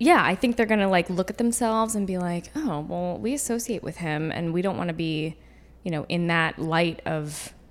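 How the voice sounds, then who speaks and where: A woman with a normal speaking voice, fairly low in pitch, lively in intonation, at a moderate pace. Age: 20s. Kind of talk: casual chat.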